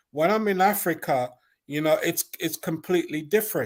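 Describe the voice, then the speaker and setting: On a very clean recording with a silent background, a man speaks with a high pitch. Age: 60s. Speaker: gospel bass player and doctorate holder. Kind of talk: casual chat.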